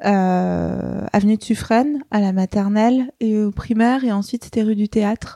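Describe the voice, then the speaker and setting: Her fairly high voice has a dark, mellow tone, and this woman speaks at a fairly slow pace with hardly any pauses, very even loudness and fairly even intonation, all in a dry, close sound with no echo. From Paris, France. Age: 30s. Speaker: fashion brand founder. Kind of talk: interview. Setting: host's home.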